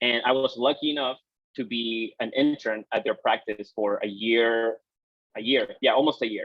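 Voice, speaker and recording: A man with a Peruvian accent, medium in pitch, at a moderate pace. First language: Spanish. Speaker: exercise physiologist. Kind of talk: guest talk to students.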